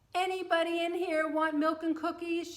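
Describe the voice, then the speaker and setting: A woman puts on a squeaky character voice at an extremely high pitch, speaking at a moderate pace with monotone, flat intonation. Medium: read story. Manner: gentle, good-humored.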